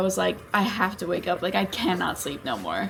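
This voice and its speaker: Putting on a raspy character voice, a woman speaks at medium pitch and moderate pace over light background noise. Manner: casual, chatty.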